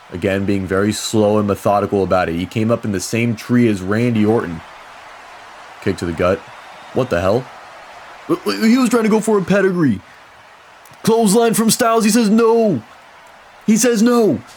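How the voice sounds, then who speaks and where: A man's excited, energetic voice at a moderate pace with long, frequent pauses over noticeable background noise. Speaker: wrestling commentator. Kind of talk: wrestling play-by-play commentary.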